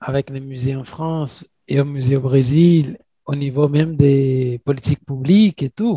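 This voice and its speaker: A man's fairly high, dark and mellow voice at a very slow pace, dry and close with no echo. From Brazil, Minas Gerais. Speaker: podcast host. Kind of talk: interview.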